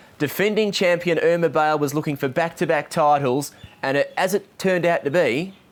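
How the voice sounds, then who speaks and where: This is a man with a normal speaking voice. His pitch variation is ordinary. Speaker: greyhound race caller and interviewer. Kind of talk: interview questions.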